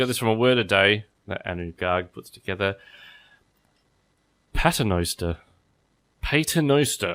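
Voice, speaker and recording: With an Australian accent, a man speaks at a moderate pace in a fairly low pitch, his intonation lively and broken by long, frequent pauses. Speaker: podcast host. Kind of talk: casual chat.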